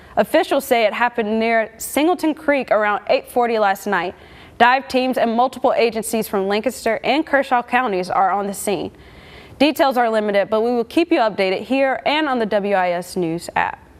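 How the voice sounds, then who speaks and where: A woman's normal speaking voice, fairly high in pitch, with lively intonation. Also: moderate pace. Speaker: TV news anchor and reporter. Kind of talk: broadcast news reporting.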